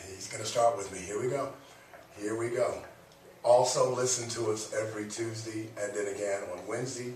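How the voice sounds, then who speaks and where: A man speaks with fairly even intonation, with noticeable background noise and audible room echo. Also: medium pitch for a man. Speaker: radio talk show host. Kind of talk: casual radio banter. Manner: fast talker.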